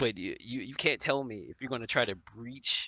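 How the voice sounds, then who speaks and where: A man's medium-pitched voice, bright and sharp in tone, at a moderate pace with fairly even intonation, dry and close with no echo, over a quiet background. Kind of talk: casual chat. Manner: halting; loud.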